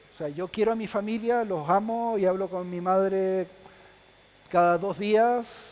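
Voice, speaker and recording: With a Chilean accent, a man speaks at a high pitch. His intonation stays fairly even. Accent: Chilean accent, still noticeable. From Chile, Punta Arenas (Patagonia). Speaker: visual effects specialist. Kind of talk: panel talk. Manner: halting, many repetitions.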